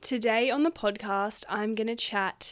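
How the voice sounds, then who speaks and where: A woman with an Australian accent speaks at a fairly high pitch in a very clean recording with a silent background. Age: 20s. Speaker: podcast host, dietitian and sexologist. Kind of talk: solo podcast monologue. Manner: casual, chatty.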